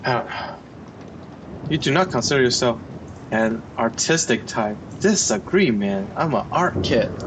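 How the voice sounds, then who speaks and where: A man with a non-native accent at a fairly slow pace, very wide pitch swings and very even loudness, over noticeable background noise. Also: medium pitch for a man. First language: not English. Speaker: vlogger. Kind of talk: casual chat. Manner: halting, many fillers.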